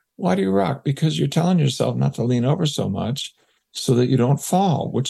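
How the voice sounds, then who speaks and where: A man talks at a fairly quick pace and medium pitch in a dark, mellow tone. His voice shows vocal fry and very wide pitch swings. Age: 70s. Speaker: psychologist and researcher. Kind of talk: interview.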